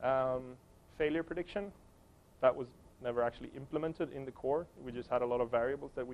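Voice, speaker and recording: A man at a very fast pace, with long, frequent pauses, big swings in loudness and ordinary pitch variation. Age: 30s. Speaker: software developer giving a conference talk; conference presenter. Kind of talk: conference presentation. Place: meeting room. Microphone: lapel.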